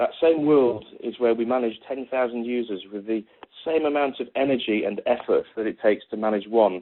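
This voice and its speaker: Speaking at a medium pitch, a man talks with a British accent. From Britain. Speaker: technology executive giving a conference talk. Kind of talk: conference presentation. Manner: halting, many fillers and repetitions.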